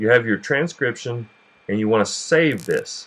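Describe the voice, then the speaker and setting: A bright, sharp tone with a Southern US accent. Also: man. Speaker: cooking channel host. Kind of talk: tutorial. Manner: casual, with frequent fillers and repetitions.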